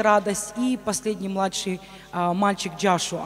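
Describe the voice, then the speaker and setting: There is light background noise behind a woman talking. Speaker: pastor's wife and missionary; pastor's wife. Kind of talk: testimony. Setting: church. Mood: earnest personal testimony. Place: church. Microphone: handheld.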